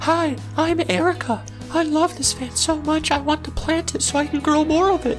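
Clear music plays behind a woman speaking at a high pitch. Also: moderate pace. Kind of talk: comic parody infomercial testimonial. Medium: comedy sketch. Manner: bubbly, earnestly enthusiastic.

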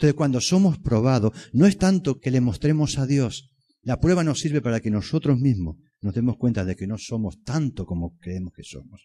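A man talks at a moderate pace in a dark, mellow, somewhat breathy tone with very wide pitch swings. The recording is very clean, the background silent. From Extremadura, Spain. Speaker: preacher. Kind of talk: sermon. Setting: church. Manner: earnest, persuasive, pastoral; rhetorical, repeats phrases for emphasis.

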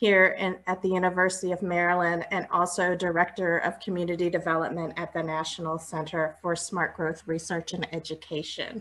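A woman's fairly low voice, fairly quick and monotone, with hardly any pauses. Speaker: panel moderator. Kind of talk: moderator introduction. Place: home room. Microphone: earbuds.

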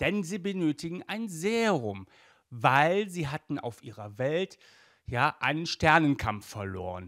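A man with a fairly high pitch and fairly bright tone at a fairly slow pace, on a very clean recording with a silent background

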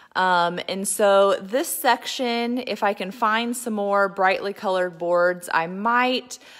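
In a quiet setting, a woman speaks with ordinary pitch variation. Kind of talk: casual livestream tour chat. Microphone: phone near.

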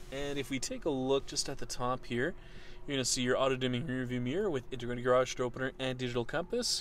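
A man speaks at a fairly quick pace with fairly even intonation. The sound is dry with no echo, with light background noise. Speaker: car salesperson. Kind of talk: vehicle walkaround commentary. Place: car. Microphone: phone near.

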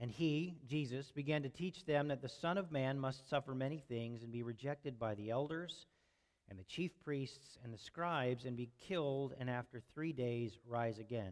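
A man talks with ordinary pitch variation and a moderate pace, the background quiet. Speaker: preacher. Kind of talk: sermon. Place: church.

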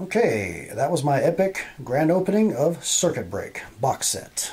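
A man's high-pitched voice with lively intonation and a fairly slow pace. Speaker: card pack opening youtuber. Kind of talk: casual unboxing video. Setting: at home late at night. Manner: quiet, subdued so as not to wake family. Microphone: phone near.

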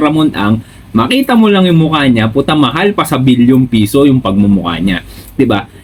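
A man speaks with very wide pitch swings. Noticeable background noise is present. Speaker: business vlogger. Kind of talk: casual chat.

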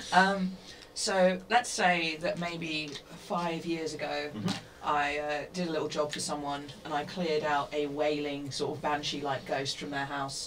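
Noticeable background noise surrounds a woman speaking at a fairly slow pace. Her pitch is very deep and low, with ordinary pitch variation. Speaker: tabletop game player. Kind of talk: tabletop role-play session. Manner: halting.

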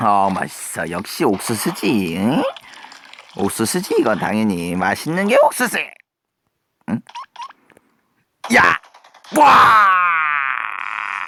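A cartoonish character voice at low-to-middle pitch, at a very slow pace with long, frequent pauses. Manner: playful, cheeky, exaggerated.

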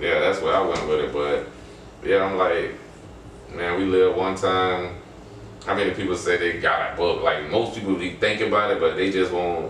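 There is audible room echo along with noticeable background noise. A man talks at a moderate pace. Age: 40s. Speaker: author. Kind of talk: casual chat.

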